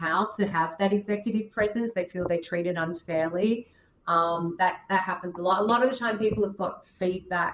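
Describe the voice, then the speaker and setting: A woman speaks at a moderate pace with a strong Australian accent. Her pitch variation is ordinary. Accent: Australian, thick. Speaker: career and leadership coach. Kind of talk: podcast interview. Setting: video call.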